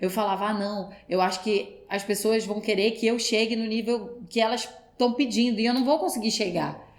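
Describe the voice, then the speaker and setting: With audible room echo, a woman speaks at a moderate pace in a fairly high pitch and fairly even intonation. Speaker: actress. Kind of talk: podcast interview.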